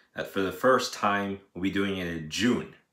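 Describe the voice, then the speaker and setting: A man speaks with a fairly low pitch. The room echo is audible. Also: quiet background. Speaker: daily vlogger. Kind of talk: casual vlog chat. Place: home room. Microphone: phone near.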